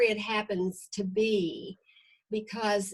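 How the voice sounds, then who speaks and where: A fairly high, somewhat breathy female voice at a very slow pace. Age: 80s+. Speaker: real estate business leader. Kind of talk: Q&A interview, motivational advice.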